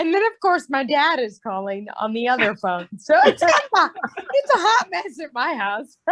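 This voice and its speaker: A woman's high voice with an American accent, fairly slow in pace and swinging very widely in pitch. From northern US. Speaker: teacher. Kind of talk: casual chat.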